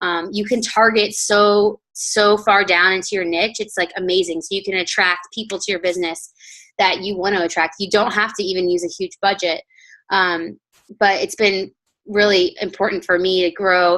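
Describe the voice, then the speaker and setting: Her tone bright and sharp, a woman of medium pitch speaks with fairly even intonation. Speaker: network marketing coach. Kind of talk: team call presentation. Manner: fast.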